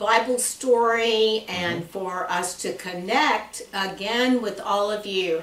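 A woman speaks with ordinary pitch variation. Audible room echo can be heard. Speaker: church class guest. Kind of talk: conversational interview chat. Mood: warm, friendly. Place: office.

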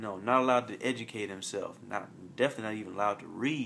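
A man in an American accent at a very fast pace, with fairly even intonation and light background noise. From US South, Montgomery, Alabama; Alabama. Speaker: college student vlogger; vlogger discussing a book. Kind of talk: solo video monologue. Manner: halting, with many fillers. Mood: earnest, thoughtful. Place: home room. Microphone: phone near.

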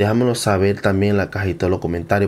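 There is light background noise as a man talks in an animated tone. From Venezuela. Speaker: YouTuber. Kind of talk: reaction video commentary. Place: home room. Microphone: studio mic.

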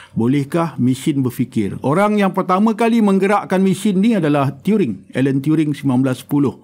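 Keeping his loudness very even, a man speaks at a moderate pace and fairly high pitch, his pitch swinging very widely. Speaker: mathematics and philosophy of science academic. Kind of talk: educational interview.

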